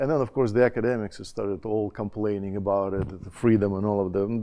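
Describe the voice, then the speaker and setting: Pitched fairly low, a man speaks at a very fast pace. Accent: Russian. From Russia. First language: Russian. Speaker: education scholar, former college dean. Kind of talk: conference panel talk. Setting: conference panel with audience. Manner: halting, many fillers and restarts.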